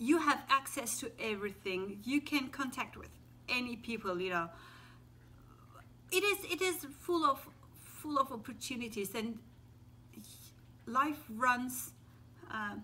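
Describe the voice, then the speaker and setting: Very wide pitch swings and big swings in loudness mark this fairly slow delivery with long, frequent pauses. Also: woman, high pitch for a woman. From Turkey. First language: Turkish. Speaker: teacher. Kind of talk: casual talk to camera. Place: home room. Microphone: phone near.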